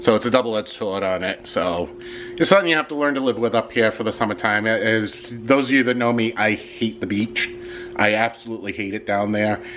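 There is light background noise as a man talks at a fairly quick pace with ordinary pitch variation. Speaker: vlogger. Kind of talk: casual vlog chat. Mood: annoyed, complaining. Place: home room. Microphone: phone near.

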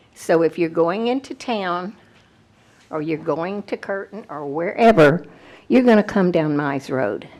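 Speaking at a very slow pace with long, frequent pauses, a woman with a Texan accent uses lively intonation at a fairly low pitch. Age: 80s+. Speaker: retired teacher, resident addressing county officials. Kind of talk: public comment at a meeting.

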